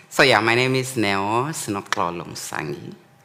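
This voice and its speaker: Noticeable background noise accompanies a man at a medium pitch. He speaks with lively intonation at a fairly slow pace. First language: not English. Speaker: artist and academic. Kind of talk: artist talk. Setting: gallery talk with live audience.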